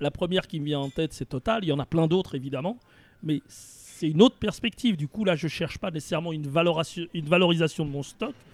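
At a very fast pace, a man with a fairly high voice speaks with ordinary pitch variation in a dry, close sound with no echo. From Paris region, France. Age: 60s. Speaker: retirement planning consultant. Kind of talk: interview conversation.

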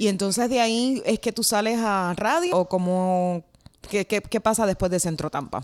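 This is a plain, everyday voice with ordinary pitch variation at a moderate pace. The sound is dry and close, with no echo. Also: woman, medium pitch for a woman. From Puerto Rico. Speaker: podcast host and journalist. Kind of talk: casual interview. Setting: remote call across time zones.

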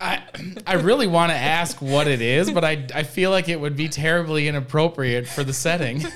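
A man's fairly high voice at a fairly quick pace, with ordinary pitch variation and noticeable background noise. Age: 20s. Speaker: podcast host at a veterinary practice. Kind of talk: casual interview. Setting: studio.

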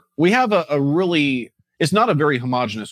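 A man talks at a moderate pace in an unremarkable speaking voice. The sound is dry and close, without echo. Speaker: real estate investing podcast host. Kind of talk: casual chat.

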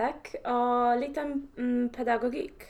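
Speaking with a Polish accent, a woman talks at a fairly high pitch and a fairly slow pace amid noticeable background noise. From Poland. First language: Polish (speaking Swedish). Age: 20s. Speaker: surveying manager in construction. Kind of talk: interview. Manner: halting.

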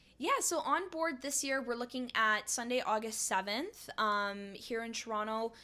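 Bright and sharp in tone, a woman with a Canadian accent talks in a high pitch with ordinary pitch variation. She keeps a moderate pace with hardly any pauses. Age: 20s. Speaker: semi-pro paddleboard athlete and surf instructor. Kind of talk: interview. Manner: casual, frequent fillers.

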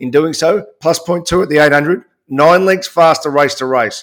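A man with an Australian accent, fairly high-pitched, at a fairly slow pace. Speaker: horse racing podcast host. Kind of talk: casual sports analysis chat.

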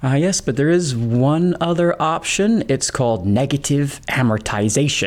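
A man's fairly high, normal speaking voice at a moderate pace, with lively intonation and very even loudness. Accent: American. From UK until age seven, then US. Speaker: economist, podcast co-host. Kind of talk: scripted conversational podcast.

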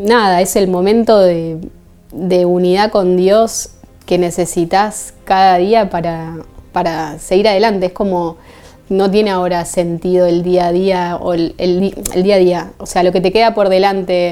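At a fairly slow pace, a woman speaks at medium pitch with a monotone, flat intonation. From Argentina, Buenos Aires. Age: 30s. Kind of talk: testimony.

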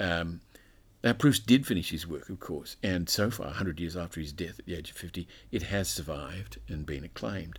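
In a very clean recording with a silent background, a man with an Australian accent talks at a fairly quick pace, his very deep, low voice showing vocal fry and lively intonation. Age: 60s. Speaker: scholar and author. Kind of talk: interview conversation. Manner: halting.

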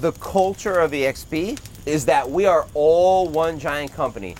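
A man with a New Jersey accent speaks at a very slow pace. His pitch is fairly high. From New Jersey, Toms River. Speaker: realtor and entrepreneur. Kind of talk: casual chat. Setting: outdoors by a fire pit with small audience.

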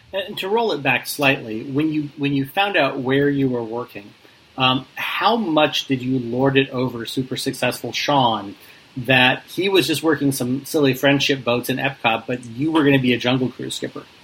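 A man with a medium pitch talks at a moderate pace against noticeable background noise. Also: ordinary pitch variation. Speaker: podcast host. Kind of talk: casual interview chat.

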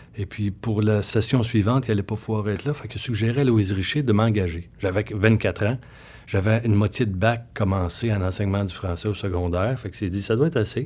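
A man with a Quebec accent speaks at a fairly quick pace in a fairly low, somewhat breathy voice with fairly even intonation. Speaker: comedy writer and novelist. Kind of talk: casual interview.

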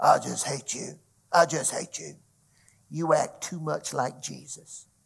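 Using a put-on character voice, a man delivers his lines fairly slowly. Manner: menacing, hateful.

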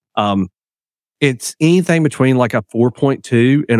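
A man with an unremarkable speaking voice talks at a fairly slow pace and a medium pitch with ordinary variation. The sound is dry and close, with no echo. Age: 40s. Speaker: digital marketing agency partner. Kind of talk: podcast interview.

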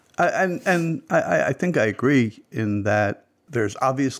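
This is a man with an ordinary speaking voice. He talks at a moderate pace with lively intonation. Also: very clean recording, silent background. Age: 60s. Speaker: music enthusiast guest. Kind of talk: casual chat.

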